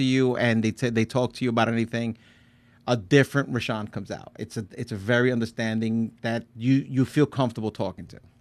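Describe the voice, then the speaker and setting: A man's medium-pitched voice at a very fast pace, with fairly even intonation and big swings in loudness, against a quiet background. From New Jersey. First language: Spanish. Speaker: podcast host. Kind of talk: casual chat. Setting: studio.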